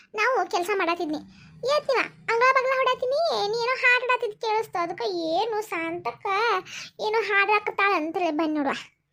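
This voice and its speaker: Cartoonish character voice with lively intonation at a moderate pace. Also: woman, extremely high pitch for a woman. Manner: gossipy, friendly.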